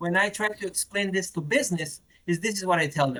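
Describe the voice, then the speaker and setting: Talking at a fairly quick pace, a man with a Macedonian accent has a high pitch. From North Macedonia. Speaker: retail technology product manager. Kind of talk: podcast interview. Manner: repetitive stammering on words.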